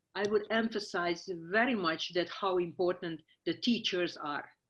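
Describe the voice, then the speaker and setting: A woman speaks at a fairly slow pace with ordinary pitch variation over a quiet background. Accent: strong Hungarian. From Hungary, small town. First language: Hungarian. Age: 60s. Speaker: scientist. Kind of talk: interview. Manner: halting, many fillers.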